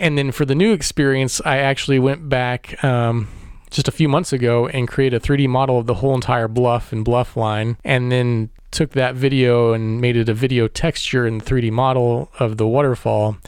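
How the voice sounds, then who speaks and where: With an American accent, a man speaks in a normal speaking voice at a medium pitch and moderate pace, his intonation fairly even and his loudness very even. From Missouri (Warrensburg, near Kansas City). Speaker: photographer and artist. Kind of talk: interview.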